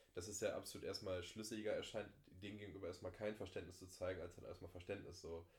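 A somewhat breathy voice at a very fast pace. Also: man. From Germany, East Westphalia. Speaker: podcast guest. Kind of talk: casual chat.

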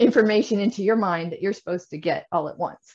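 A somewhat breathy woman's voice with a Midwestern American accent and ordinary pitch variation. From US Midwest. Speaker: Chinese teacher. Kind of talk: interview, casual chat.

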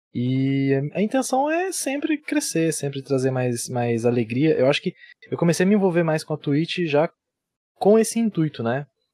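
In a dry, close sound with no echo, a man with a fairly high pitch talks at a moderate pace, his pitch swinging very widely. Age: 20s. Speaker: streamer and civil engineer. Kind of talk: casual chat.

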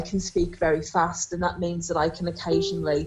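Speaking at a moderate pace, a woman has a fairly low pitch and a slightly mellow tone.

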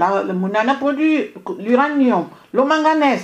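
A woman speaks with very wide pitch swings. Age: 50s. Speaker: radio journalist. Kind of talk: radio debate. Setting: radio studio, live stream. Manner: halting.

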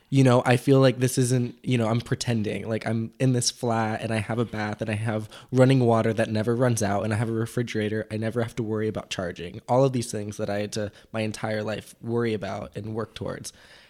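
A man with an American accent talks at a very fast pace with hardly any pauses, his medium-pitched voice flat and monotone over a very clean recording with a silent background. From Mexico, raised on a sailboat (American family). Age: 20s. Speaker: podcast guest. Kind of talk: casual chat. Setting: cafe over breakfast.

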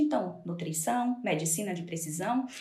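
A woman speaks with very wide pitch swings. There is audible room echo and noticeable background noise. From Brazil, Salvador (Bahia). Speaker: nutritionist. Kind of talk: interview. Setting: video call.

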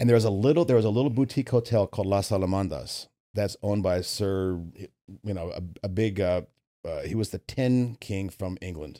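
A man talks at a fairly quick pace and fairly low pitch in a dark, mellow tone, with ordinary pitch variation, on a very clean recording with a silent background. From US, Virginia. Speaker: business advisor, former mortgage executive. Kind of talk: casual interview. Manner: animated.

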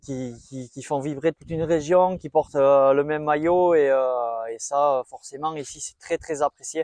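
The sound is dry and close with no echo. Intonation stays fairly even while loudness swings widely. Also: man. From French Basque Country, near Bayonne. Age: 40s. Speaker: nursing assistant and amateur runner. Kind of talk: casual interview. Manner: hesitant, many filler words.

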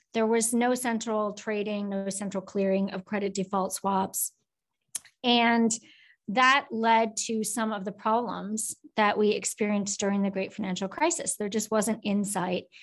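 Delivered in a normal speaking voice with an American accent, the speech keeps a moderate pace and fairly even intonation. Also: woman. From US Midwest, Minnesota. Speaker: finance academic and former government official. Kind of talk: interview.

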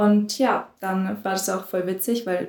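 A woman speaks with monotone, flat intonation. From southern Germany, near Stuttgart. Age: young. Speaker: volunteer after school. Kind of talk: casual interview.

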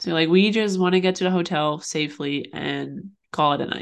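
Against a quiet background, a woman with a plain, everyday voice speaks at a moderate pace, her fairly low pitch held in fairly even intonation. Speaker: podcast co-host. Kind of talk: casual chat. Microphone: new microphone.

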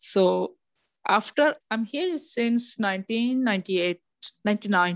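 A woman speaks at a medium pitch with ordinary pitch variation, in a dry, close sound with no echo on a very clean recording with a silent background. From Pakistan. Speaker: adult student training as care worker. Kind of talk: casual interview. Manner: halting.

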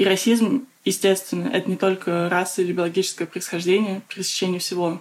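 A woman with a normal speaking voice, medium pitch and a moderate pace. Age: 20s. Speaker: activist, project founder. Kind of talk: casual discussion.

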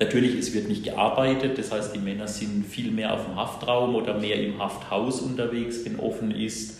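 A medium-pitched man at a moderate pace, with audible room echo and noticeable background noise. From Baden-Württemberg, Germany (Bruchsal). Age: 50s. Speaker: prison chaplain. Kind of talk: interview. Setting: prison.

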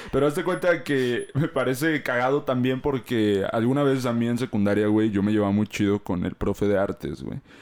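With lively intonation, a man speaks at a moderate pace and a medium pitch, leaving hardly any pauses. The recording is very clean, with a silent background. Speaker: podcast host. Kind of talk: casual chat.

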